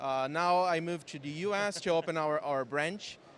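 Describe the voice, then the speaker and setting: A man with a Brazilian accent at a moderate pace, with ordinary pitch variation. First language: Portuguese. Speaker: software company founder and developer. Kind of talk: interview. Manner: halting.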